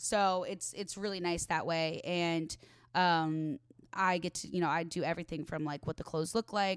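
In a very clean recording with a silent background and a dry, close sound free of echo, a woman with an American accent uses an ordinary speaking voice at a fairly low pitch with fairly even intonation. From Chicago suburbs, Illinois. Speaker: social media influencer. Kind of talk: casual chat. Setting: home recording. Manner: fast.

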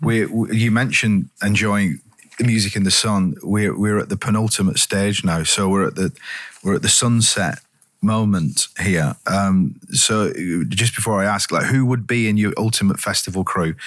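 Speaking with an English accent, a man keeps a fairly low pitch, a moderate pace, ordinary pitch variation and very even loudness. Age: 50s. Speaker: podcast host. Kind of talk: casual interview chat.

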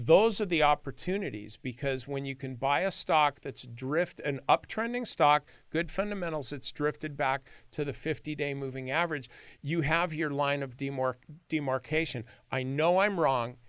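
Recorded very cleanly with a silent background, a man with an American accent speaks at a fairly high pitch. His pace is moderate and his pitch variation ordinary. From US West (California, San Joaquin Valley). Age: 60s. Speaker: stock trader and former lawyer. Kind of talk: podcast interview. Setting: studio.

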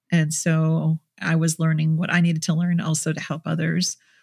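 On a very clean recording with a silent background and a dry, close sound with no echo, a woman with an American accent speaks at a moderate pace, her fairly low voice somewhat breathy. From US Midwest, Minnesota. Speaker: therapist. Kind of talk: interview.

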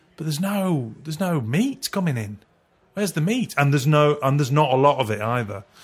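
A man's fairly high, somewhat breathy voice with lively intonation and a fairly quick pace, very clean recording, silent background. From northern England, Culcheth near Warrington. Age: 50s. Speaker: actor. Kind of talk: casual chat. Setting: cellar.

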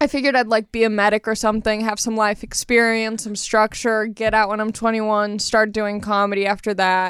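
A woman talks at a fairly quick pace with hardly any pauses. Her fairly high voice stays monotone and flat. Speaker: stand-up comedian. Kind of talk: casual chat. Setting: studio.

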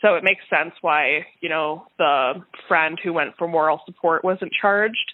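In a Canadian accent, a woman uses a normal speaking voice with a fairly low pitch. She keeps a moderate pace and fairly even intonation. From Winnipeg, Manitoba, Canada. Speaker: lawyer and comedian. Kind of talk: interview testimony.

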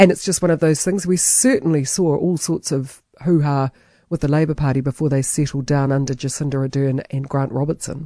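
Over a quiet background, a woman with a New Zealand accent talks at a fairly quick pace in a dark, mellow tone, her very deep, low pitch held in fairly even intonation. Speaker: talk radio host. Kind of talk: radio commentary.

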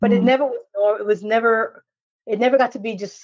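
A woman talks at a fairly quick pace in an ordinary speaking voice, with ordinary pitch variation. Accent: American. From New York. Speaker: national security expert. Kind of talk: casual chat.

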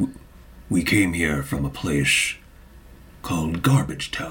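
A man puts on a character voice at a fairly slow pace. His intonation stays fairly even over clear background noise. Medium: actual play. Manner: measured, thoughtful.

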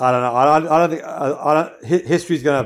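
Speaking at a very fast pace with fairly even intonation, a man talks in an Australian accent. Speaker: former pro golfer and golf commentator. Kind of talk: casual chat.

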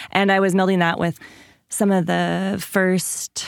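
A woman with an ordinary speaking voice talks at a fairly slow pace and fairly low pitch with fairly even intonation. The recording is very clean with a silent background and a dry, close sound with no echo. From Washington State, small rural town. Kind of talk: interview.

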